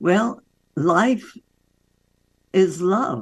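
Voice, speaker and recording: A woman's medium-pitched voice with vocal fry and lively intonation. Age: 80s+. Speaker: doctor and author. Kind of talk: interview.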